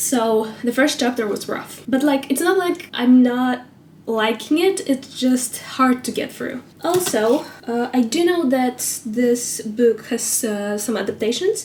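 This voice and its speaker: Noticeable background noise sits behind a woman with a high pitch. She speaks at a fairly slow pace with lively intonation. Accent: non-native. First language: not English. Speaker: book vlogger. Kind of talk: casual vlog talk to camera. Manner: casual, with frequent fillers.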